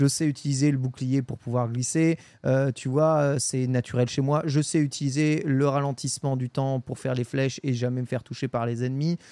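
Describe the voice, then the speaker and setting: A man with a dark, mellow tone speaks at medium pitch and moderate pace in a monotone, flat way, with hardly any pauses. The sound is dry and close with no echo, in a very clean recording with a silent background. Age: 30s. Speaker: gaming podcast host. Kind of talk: casual chat.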